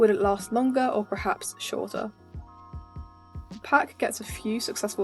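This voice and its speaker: A woman with a fairly high pitch speaks at a fairly quick pace and with fairly even intonation while music plays in the background. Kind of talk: video game analysis commentary.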